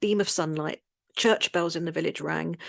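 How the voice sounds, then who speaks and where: With a London accent, a woman speaks in fairly even intonation, recorded with a dry, close sound with no echo and a quiet background. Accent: Cockney London. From London, England. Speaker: expat website and magazine creator. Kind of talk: podcast interview storytelling.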